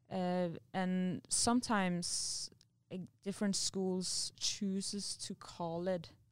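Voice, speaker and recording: Captured in a very clean recording with a silent background, a woman of medium pitch talks at a very slow pace. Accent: Norwegian. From Norway. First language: Norwegian. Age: 20s. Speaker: university student and athlete. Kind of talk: interview.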